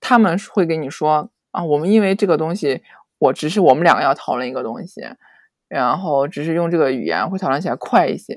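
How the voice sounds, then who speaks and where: A woman with an unremarkable speaking voice talks at a fairly quick pace in a fairly low pitch with lively intonation, on a very clean recording with a silent background. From China. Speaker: podcast guest, former worker abroad. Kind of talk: casual chat.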